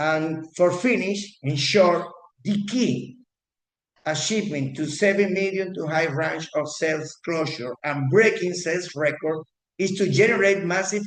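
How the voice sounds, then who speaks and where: The speaker has a non-native accent, ordinary pitch variation and a fairly slow pace. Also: man. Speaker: real estate agent. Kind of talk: class. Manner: halting, many repetitions.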